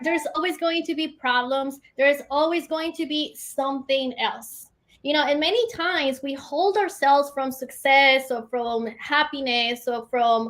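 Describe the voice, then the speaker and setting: Using a non-native accent, a woman with a high pitch talks at a fairly slow pace with hardly any pauses and ordinary pitch variation. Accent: noticeable foreign. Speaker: entrepreneur and business coach. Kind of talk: interview.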